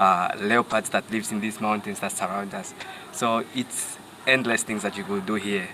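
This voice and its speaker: A man at a fairly low pitch and moderate pace, monotone and flat in intonation, with noticeable background noise. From northern Namibia (Rundu). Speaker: safari guide. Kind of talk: casual interview chat. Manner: halting, many fillers.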